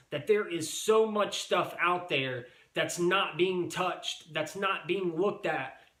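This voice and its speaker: Speech comes at a fairly slow pace. Noticeable background noise and audible room echo surround it. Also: man. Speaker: reseller YouTuber. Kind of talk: casual vlog monologue. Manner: animated.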